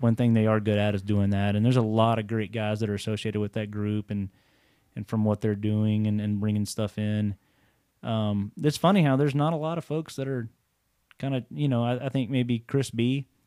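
A man talks at a fairly quick pace in a Texan accent. His pitch sits fairly low. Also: ordinary pitch variation. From Texas (Waco). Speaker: bow shop co-owner and hunter. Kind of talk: casual chat. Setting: separate rooms.

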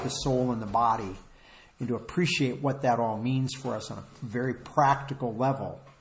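A man talks at medium pitch and a moderate pace. His intonation is fairly even, and the room echo is audible. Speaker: preacher. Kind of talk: sermon. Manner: halting.

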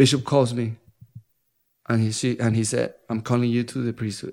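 A man speaks with a Colombian accent at a medium pitch. The recording is very clean, with a silent background. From Colombia, Bogotá. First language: Spanish. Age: 30s. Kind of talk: testimony. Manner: halting.

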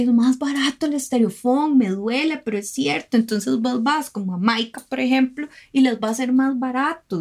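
A woman's fairly high voice, a plain, everyday voice, with lively intonation at a moderate pace on a very clean recording with a silent background. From Costa Rica, Guanacaste. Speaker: environmental lawyer and consultant. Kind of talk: interview.

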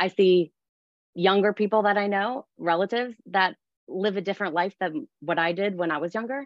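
A woman talks in a plain, everyday voice at a moderate pace. Her pitch is medium, with ordinary pitch variation. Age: 40s. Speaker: fitness studio owner. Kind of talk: webinar panel discussion.

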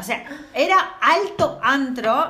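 Over noticeable background noise and audible room echo, a woman speaks in a high, animated voice that swings very widely in pitch. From Córdoba, Argentina. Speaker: feminist podcast co-host. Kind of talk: casual chat.

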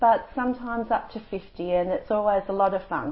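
A woman talks at a moderate pace. Her pitch varies in an ordinary way.

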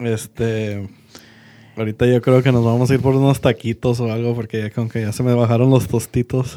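A man at medium pitch, monotone and flat, in a dark, mellow tone, at a moderate pace. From Monterrey, Nuevo León, Mexico. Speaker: podcast co-host. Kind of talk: casual chat.

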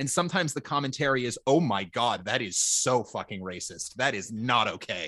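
A man with an unremarkable speaking voice and an American accent, at medium pitch, with lively intonation, a fairly quick pace, hardly any pauses and a quiet background. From Minnesota. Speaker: podcast host. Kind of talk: casual chat.

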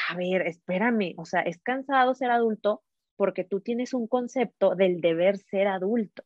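With a normal speaking voice at medium pitch, a woman talks at a moderate pace with ordinary pitch variation. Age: 30s. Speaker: entrepreneur and empowerment coach. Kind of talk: casual interview chat.

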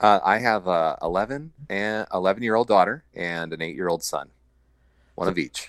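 In a very clean recording with a silent background, a man with an American accent speaks at a moderate pace and fairly low pitch, with ordinary pitch variation. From Iowa. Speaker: brewery co-founder. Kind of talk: casual interview. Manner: halting.

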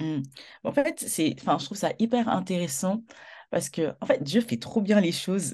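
At a fairly slow pace, a woman with a medium pitch speaks in a somewhat breathy, dark, mellow tone, her pitch swinging very widely. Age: 20s. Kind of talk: testimony in interview.

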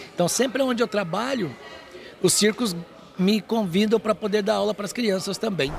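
A man's high-pitched voice at a moderate pace, with ordinary pitch variation and music in the background. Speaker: trapeze artist and circus teacher. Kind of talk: interview.

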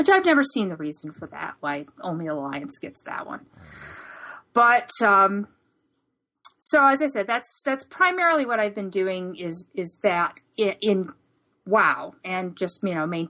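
A woman's bright, sharp tone with an American accent, very wide pitch swings and big swings in loudness. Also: medium pitch for a woman, fairly slow pace. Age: 40s. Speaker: gaming podcast co-host. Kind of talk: casual chat.

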